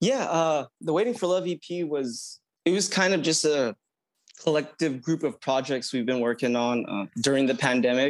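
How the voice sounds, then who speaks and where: A man with an unremarkable speaking voice, fairly high pitch, lively intonation and a moderate pace. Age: 30s. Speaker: electronic music producer. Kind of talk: interview.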